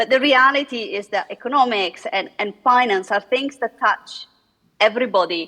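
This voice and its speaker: With an Italian accent, a woman speaks at a moderate pace in a fairly high pitch with ordinary pitch variation. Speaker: economist and author. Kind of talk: panel discussion. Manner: hesitant, many fillers.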